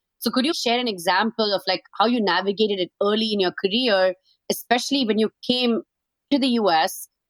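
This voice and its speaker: With an Indian accent, a woman speaks at a fairly quick pace in a fairly high pitch, showing ordinary pitch variation and very even loudness. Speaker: podcast co-host, former engineer. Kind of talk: podcast interview.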